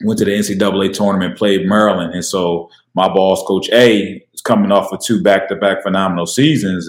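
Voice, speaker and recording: In a plain, everyday voice, a man with a fairly low pitch and an American accent speaks at a moderate pace. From Chester, Pennsylvania. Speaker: women's college basketball assistant coach. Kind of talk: casual interview.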